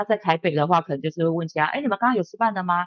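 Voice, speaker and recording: The pitch sits fairly low. The speaker is a woman. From Taiwan. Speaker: bartender and bar owner. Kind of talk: casual interview.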